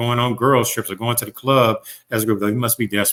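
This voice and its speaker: Dry and close with no echo, this very clean recording has a silent background. A man speaks at a medium pitch and a moderate pace with fairly even intonation. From US South. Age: 40s. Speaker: dating commentator. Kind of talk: podcast interview.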